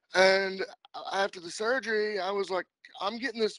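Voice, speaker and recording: Over a quiet background, a man speaks at a moderate pace in a bright, sharp tone with a dry sound and no echo. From Kentucky. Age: 30s. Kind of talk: casual interview chat. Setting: phone or video call. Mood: relaxed, friendly. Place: home room. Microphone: video call.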